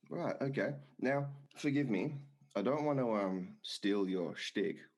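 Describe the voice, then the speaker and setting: With an Australian accent, a man talks at a moderate pace using lively intonation. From Australia, Perth. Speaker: podcast host. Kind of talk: casual chat.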